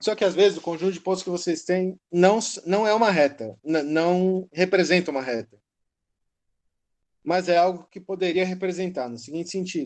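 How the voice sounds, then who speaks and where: Ordinary pitch variation marks a man speaking with a high pitch. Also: moderate pace. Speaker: university lecturer. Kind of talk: lecture. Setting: online class recorded from phone. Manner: halting. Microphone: phone mic.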